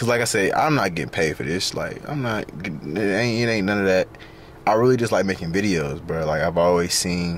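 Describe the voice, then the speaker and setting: A man speaks fairly quickly with a very deep, low pitch and lively intonation. The sound is dry with no echo, and there is light background noise. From US South, Atlanta east side; Georgia. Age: 20s. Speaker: vlogger and day trader; vlogger. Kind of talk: casual vlog. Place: car. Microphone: phone near.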